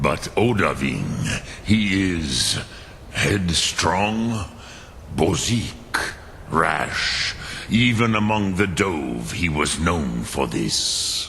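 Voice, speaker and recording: A put-on character voice from a man, very deep and low in pitch, delivered at a very slow pace over clear background noise. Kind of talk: dragon language intoning. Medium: video game. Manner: slow, measured, contemplative.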